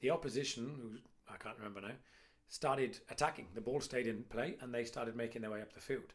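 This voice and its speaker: Talking at a fairly quick pace, a man in a medium pitch shows ordinary pitch variation and big swings in loudness, an unremarkable speaking voice. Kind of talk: casual chat.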